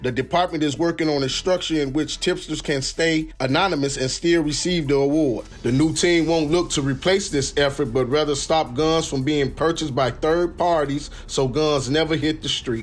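A man with an ordinary speaking voice talks at a moderate pace and a fairly high pitch, with hardly any pauses. His intonation is fairly even, and his loudness is very even. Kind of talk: radio newsreading with station promo and ad reads. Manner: polished, brisk, crisp broadcast delivery.

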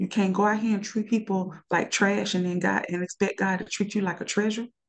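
This woman has an unremarkable speaking voice, medium in pitch, with fairly even intonation. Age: 40s. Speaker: nurse. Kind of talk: casual chat.

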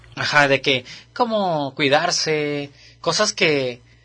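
Against a quiet background, a man with a Mexican accent speaks at a fairly high pitch in a bright, sharp tone. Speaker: podcast co-host. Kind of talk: casual chat.

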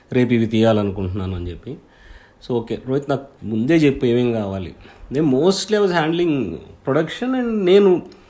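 This man's dark, mellow tone carries very wide pitch swings. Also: medium pitch for a man. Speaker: independent filmmaker and podcaster. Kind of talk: casual solo monologue. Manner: halting, searching for words; shaky voice.

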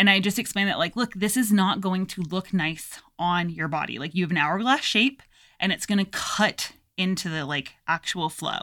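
A woman's voice has a bright, sharp tone at a medium pitch, with ordinary pitch variation. She speaks at a moderate pace on a very clean recording with a silent background. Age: 30s. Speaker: tattoo artist. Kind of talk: casual chat. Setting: home studio.

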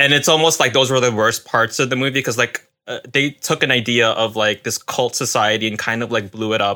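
A man at a medium pitch with ordinary pitch variation, a bright, sharp tone and a fairly quick pace. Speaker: returning guest, book publisher. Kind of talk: casual chat.

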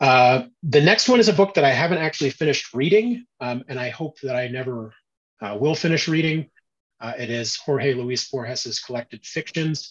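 A man with an American accent and a fairly high pitch shows ordinary pitch variation and big swings in loudness. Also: moderate pace. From US South, southern Louisiana. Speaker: novelist. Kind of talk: interview. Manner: halting, many fillers.

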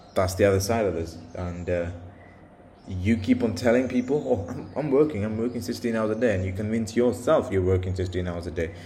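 A man's fairly low, somewhat breathy voice with a dark, mellow tone, ordinary pitch variation and audible room echo. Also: fairly quick pace. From India and the UK. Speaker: podcaster, software developer. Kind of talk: solo monologue. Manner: halting, many fillers and repetitions; casual.

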